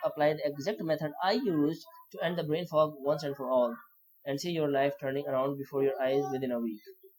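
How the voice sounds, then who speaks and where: The pace runs fairly quick. A non-native accent comes through. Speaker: copywriting learner sharing lessons. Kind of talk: tutorial. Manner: halting, many fillers and restarts.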